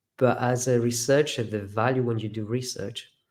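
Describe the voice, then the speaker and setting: Speaking with a slight Greek accent, the man keeps a medium pitch and a monotone, flat intonation. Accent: near-native English, slight Greek. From Greece. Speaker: professor. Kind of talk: webinar interview answer.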